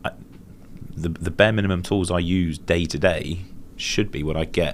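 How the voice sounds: A man speaks with a low pitch at a moderate pace. His intonation is fairly even.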